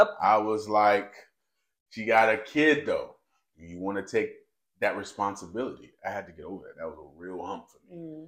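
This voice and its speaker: A man with an American accent at a moderate pace, with big swings in loudness. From North Carolina. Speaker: podcast co-host, works in IT. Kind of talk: casual chat.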